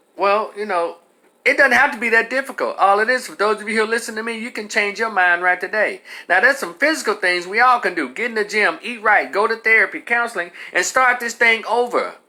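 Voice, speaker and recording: This raised, projected voice has a bright, sharp tone. It moves at a fairly quick pace with ordinary pitch variation. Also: man, high pitch for a man. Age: 50s. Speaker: commentator. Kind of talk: monologue. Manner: animated.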